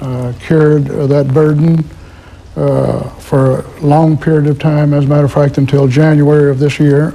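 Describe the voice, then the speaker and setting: A man speaks at a moderate pace in a monotone, flat way. His pitch is fairly high, and there is noticeable background noise. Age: 60s. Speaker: former mob lawyer, guest. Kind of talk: live TV call-in interview. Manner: hesitant, many uhs.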